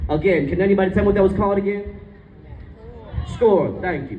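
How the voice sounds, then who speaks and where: A man's high-pitched, animated voice amid audible room echo and noticeable background noise. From Jersey City, New Jersey (Bengali immigrant family). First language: Bengali. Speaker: author and speaker. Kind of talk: public speech.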